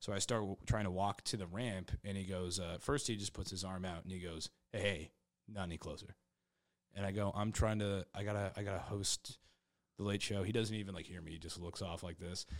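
A man with a plain, everyday voice, fairly low pitch, fairly even intonation and a fairly quick pace, in a very clean recording with a silent background. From Kansas. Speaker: stand-up comedian. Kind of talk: casual chat.

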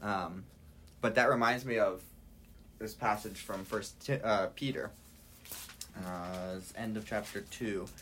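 A man is speaking with ordinary pitch variation. Audible room echo surrounds his voice. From Hawaii. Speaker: Bible college student. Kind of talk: casual chat.

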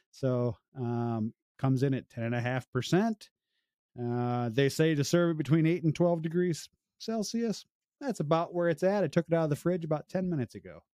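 With a Midwestern American accent, a man talks at a moderate pace in a dark, mellow tone at a fairly high pitch, using lively intonation, in a dry, close sound with no echo and a quiet background. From Illinois, US Midwest. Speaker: beer podcast host. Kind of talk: casual chat.

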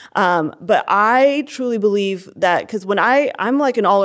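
A woman speaks in a normal speaking voice. Her pace is moderate and her pitch variation ordinary. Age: 20s. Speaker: church ministry worker. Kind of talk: interview.

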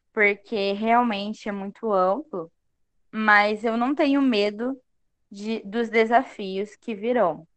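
Her voice sits at a medium pitch for a woman, with fairly even intonation. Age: 20s. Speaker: pedagogy student. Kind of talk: casual interview.

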